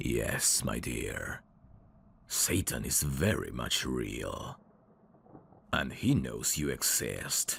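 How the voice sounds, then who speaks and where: Using a put-on character voice, a man speaks at a very slow pace with a very deep, low pitch and long, frequent pauses. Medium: solo performance. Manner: smooth, teasing, endearment-heavy.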